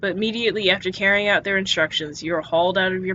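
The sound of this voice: The text is read in an unforced reading voice.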